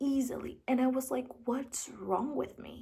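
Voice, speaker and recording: A woman speaks very slowly in a somewhat breathy voice. Her pitch swings very widely. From Brazil. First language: Portuguese. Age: 18. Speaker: vlogger. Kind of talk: casual talk to camera. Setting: sitting at home with lights, filming. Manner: halting.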